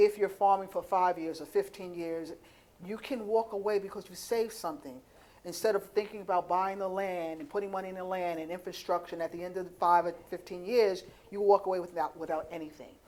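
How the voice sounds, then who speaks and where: An unremarkable speaking voice at a fairly quick pace, with big swings in loudness and ordinary pitch variation. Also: woman, medium pitch for a woman. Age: 60s. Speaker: panel moderator and farmer. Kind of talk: conference panel moderation.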